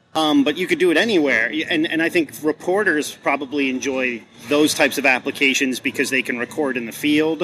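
A man with a normal speaking voice, fairly high in pitch, at a moderate pace with ordinary pitch variation. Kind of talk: casual interview chat. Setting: conference event interview.

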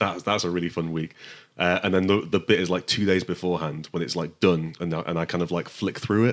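A man with a very deep, low pitch speaks at a fairly quick pace with fairly even intonation, recorded very cleanly against a silent background. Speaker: comics letterer, editor and writer. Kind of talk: casual interview chat. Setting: studio.

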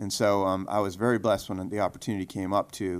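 A man with a normal speaking voice talks at a fairly quick pace in a fairly low pitch, on a very clean recording with a silent background. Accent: American. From US Northeast and Michigan. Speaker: state politician. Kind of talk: interview. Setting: in person.

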